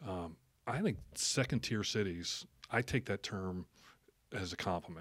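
On a very clean recording with a silent background, a man with an American accent and an ordinary speaking voice talks at a fairly low pitch and a fairly slow pace, with ordinary pitch variation. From New Jersey (Jersey Shore). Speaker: city council member and realtor. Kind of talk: casual interview.

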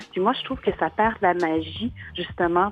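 Speaking at a fairly slow pace with lively intonation, a woman with a medium-pitched voice is heard against noticeable background noise. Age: 40s. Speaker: single woman giving testimony. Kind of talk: testimony.

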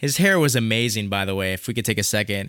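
A man's bright, sharp voice at a fairly low pitch and very fast pace, with a Chicago accent, on a very clean recording with a silent background. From Chicago, US Midwest. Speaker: musician performer. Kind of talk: casual conversational interview. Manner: excited, casual.

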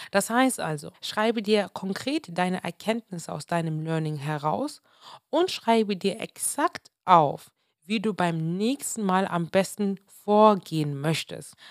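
A woman speaks at a very slow pace in a dry, close sound with no echo. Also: medium pitch for a woman, lively intonation. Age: 20s. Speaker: podcast host, entrepreneur. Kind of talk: solo motivational podcast monologue.

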